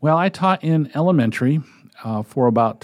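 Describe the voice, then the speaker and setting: A man with an American accent and an unremarkable speaking voice talks at a moderate pace with lively intonation, recorded dry and close with no echo. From New England (Connecticut). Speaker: volunteer sports reader, retired teacher. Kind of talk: casual interview.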